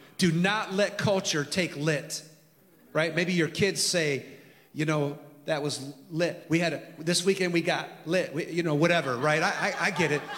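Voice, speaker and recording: Over audible room echo, a man with an American accent talks at a moderate pace in a high pitch, his intonation fairly even. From California. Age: 50s. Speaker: pastor. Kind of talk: sermon.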